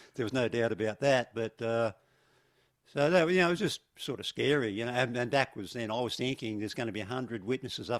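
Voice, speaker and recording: This very clean recording has a silent background and a dry, close sound with no echo. On it, a man talks with an Australian accent. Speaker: retired police officer. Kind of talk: podcast conversation.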